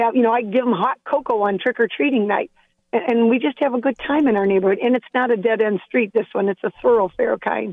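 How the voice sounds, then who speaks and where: Someone with an American accent uses an ordinary speaking voice at a fairly quick pace, with ordinary pitch variation. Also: woman. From northern Ohio, Port Clinton. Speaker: caller. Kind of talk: call-in chat.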